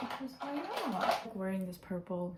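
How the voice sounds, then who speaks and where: Noticeable background noise sits behind a woman's voice. She speaks at a moderate pace with a medium pitch and ordinary pitch variation. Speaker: vlogger. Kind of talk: casual vlog. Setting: at home.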